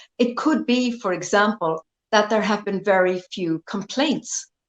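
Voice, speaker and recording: Fairly slow speech from a woman with an Irish accent, medium in pitch, with lively intonation and a dry, close sound with no echo. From Ireland. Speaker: lawyer. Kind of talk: interview.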